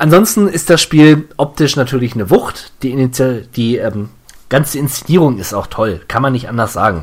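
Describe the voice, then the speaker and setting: This man speaks at medium pitch and a moderate pace. His intonation is lively. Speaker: video game podcast host. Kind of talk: casual chat. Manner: occasional fumbling over words.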